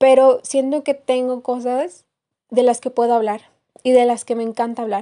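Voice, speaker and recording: A woman's high-pitched voice, dark and mellow in tone, in a monotone, flat intonation over a quiet background. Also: moderate pace. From Mexico, Querétaro. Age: 20s. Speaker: podcast host, university student. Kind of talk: casual monologue. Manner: halting, many fillers.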